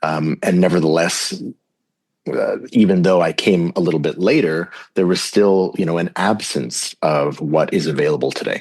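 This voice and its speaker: At a moderate pace, a man speaks at a very deep, low pitch with ordinary pitch variation. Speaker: psychedelic facilitator. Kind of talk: podcast interview. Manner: halting, many fillers.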